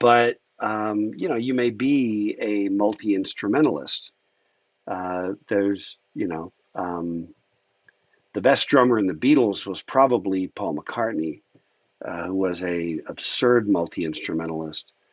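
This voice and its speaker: A man's fairly low voice with ordinary pitch variation, at a fairly slow pace, dry and close with no echo. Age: 60s. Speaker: university lecturer. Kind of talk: lecture. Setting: livestreamed class. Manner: casual, hesitant with many fillers.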